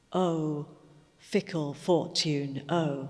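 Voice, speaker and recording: A woman speaks at a very slow pace. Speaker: poetry reciter. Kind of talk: poetry reading.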